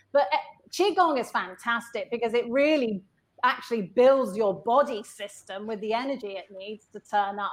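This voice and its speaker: A woman with an English accent talks at a moderate pace and fairly high pitch. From UK. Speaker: innovation and leadership consultant. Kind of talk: interview.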